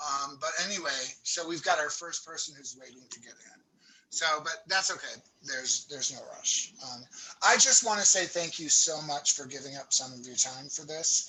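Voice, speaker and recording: A man talks at a moderate pace with a fairly high pitch and ordinary pitch variation. His loudness swings widely, and background noise is noticeable. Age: 60s. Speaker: workshop organizer. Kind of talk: meeting prep chat.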